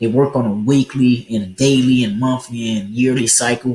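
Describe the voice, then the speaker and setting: A man's somewhat breathy voice at a medium pitch, with ordinary pitch variation and a moderate pace. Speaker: forex trading educator. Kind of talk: tutorial. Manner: casual, many fillers.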